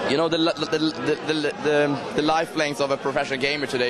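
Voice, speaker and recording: A man with a Swedish accent, fairly high-pitched and fairly quick, over noticeable background noise. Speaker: esports team executive and former pro gamer. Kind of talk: interview. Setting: dark cloakroom of a bar.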